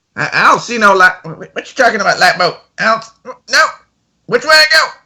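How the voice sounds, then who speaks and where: A put-on character voice with a fairly high pitch delivers its lines at a moderate pace. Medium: actual play. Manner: gruff, rough sailor speech.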